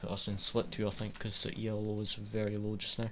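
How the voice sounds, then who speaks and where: Speaking at a moderate pace, a man with a strong Scottish accent has a fairly low pitch. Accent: Scottish, quite strong. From west coast of Scotland. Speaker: sim racing streamer. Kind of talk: live gameplay commentary. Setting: live stream.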